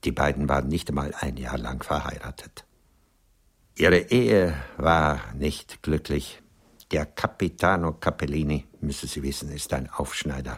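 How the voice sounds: A man puts on a character voice at an extremely low pitch, with a slightly husky edge. He goes at a fairly slow pace with ordinary pitch variation.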